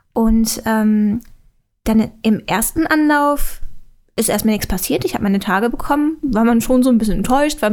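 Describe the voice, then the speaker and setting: A woman in a normal speaking voice, fairly high-pitched, with ordinary pitch variation, at a moderate pace. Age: 20s. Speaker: YouTuber. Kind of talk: casual chat.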